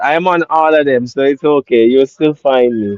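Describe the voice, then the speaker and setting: The voice carries a Jamaican accent and ordinary pitch variation. It moves at a moderate pace. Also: man. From Jamaica, Portland parish. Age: 20s. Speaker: live streamer. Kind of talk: live stream Q&A chat.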